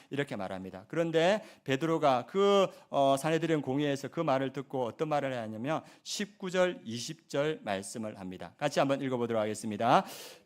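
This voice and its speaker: On a very clean recording with a silent background, a man with a fairly high voice speaks quickly with lively intonation. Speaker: pastor. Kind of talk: sermon. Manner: fast.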